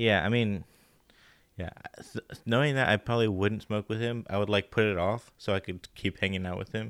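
A man speaks in a normal speaking voice at a fairly low pitch. His intonation stays fairly even. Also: fairly quick pace. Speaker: guest and friend. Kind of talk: casual chat among friends.

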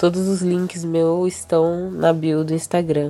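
Music plays behind a woman with a fairly low pitch. Her intonation stays monotone and flat. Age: 20s. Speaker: bassist and singer. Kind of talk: casual interview chat.

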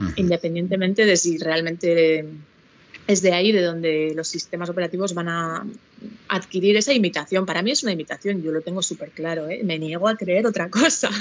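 A woman with an unremarkable speaking voice talks fairly quickly at a fairly low pitch with ordinary pitch variation. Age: 40s. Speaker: educational psychologist, co-host. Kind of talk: casual chat.

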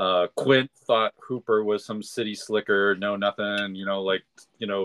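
A man with an American accent speaks at a fairly slow pace. His pitch is fairly low. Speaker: podcast guest panelist. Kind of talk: casual chat.

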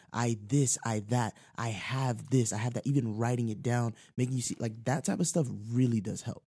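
A man speaks at a moderate pace in a medium pitch with fairly even intonation. His tone is dark, mellow and somewhat breathy, and the recording is very clean with a silent background. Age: 20s. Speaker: saxophonist. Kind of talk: casual chat.

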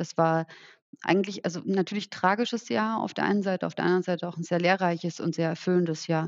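Very fast and with fairly even intonation, a woman speaks at a fairly low pitch. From rural Germany. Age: 30s. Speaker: social entrepreneur. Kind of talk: interview.

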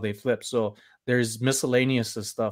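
An ordinary speaking voice from a man, medium in pitch, with fairly even intonation at a moderate pace on a very clean recording with a silent background. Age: 40s. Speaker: reseller. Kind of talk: casual chat. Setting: live stream.

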